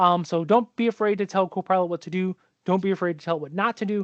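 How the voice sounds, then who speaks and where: Against a quiet background, a man with an American accent talks very fast in a high pitch, with ordinary pitch variation. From New York. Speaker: tech consultant. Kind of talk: webinar presentation. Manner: casual, conversational.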